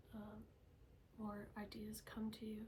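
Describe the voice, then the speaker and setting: The speaker is soft-spoken, with noticeable background noise. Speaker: Reiki healer. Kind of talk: ASMR healing session.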